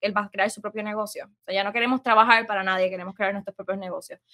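Bright and sharp in tone, a woman's fairly high voice holds a fairly even intonation, recorded very cleanly with a silent background and a dry, close sound with no echo. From Puerto Rico, west (San Sebastián). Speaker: small business owner. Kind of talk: casual interview.

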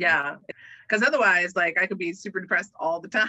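This is a woman speaking at a fairly low pitch. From Hawaii. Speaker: organizational development professional. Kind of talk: casual chat.

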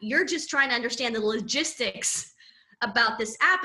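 A woman with a plain, everyday voice and an American accent talks at a fairly quick pace and a fairly high pitch. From Southern California. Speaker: personal branding coach. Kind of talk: casual interview chat.

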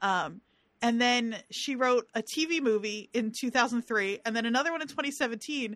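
Against a quiet background, the speaker talks at a moderate pace in a New Jersey accent with ordinary pitch variation. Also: woman, fairly high pitch for a woman. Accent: regional New Jersey. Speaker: podcast co-host. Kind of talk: casual chat.

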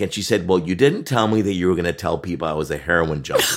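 On a very clean recording with a silent background, a man speaks with a Canadian accent. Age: 50s. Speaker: marketing agency founder and author. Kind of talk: casual interview chat. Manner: halting with fillers.

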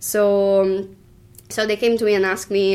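At a fairly slow pace, a woman speaks with an Italian accent and a medium pitch. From Italy, Tuscany. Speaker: bartender. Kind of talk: interview. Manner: halting.

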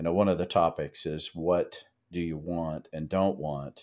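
The background is quiet. A man talks in a very deep, low pitch. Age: 60s. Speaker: massage practitioner and pleasure educator, podcast co-host. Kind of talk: casual chat.

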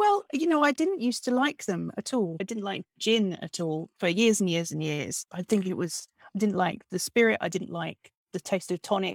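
A woman speaks in an ordinary speaking voice at medium pitch and a moderate pace. Her intonation is lively, and the sound is dry and close with no echo. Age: 40s. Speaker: novelist. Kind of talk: casual interview. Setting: at home, bedroom.

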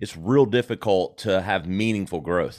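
An ordinary speaking voice with an American accent moves at a moderate pace with lively intonation. The recording is very clean, with a silent background. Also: man. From South Carolina. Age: 40s. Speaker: marketing agency founder. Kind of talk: interview, casual chat.

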